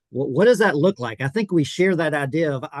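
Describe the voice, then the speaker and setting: Very fast speech with a Southern US accent, ordinary pitch variation, and a dry, close sound with no echo. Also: man. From US South (South Georgia). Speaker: podcast host, pastor. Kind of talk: interview podcast.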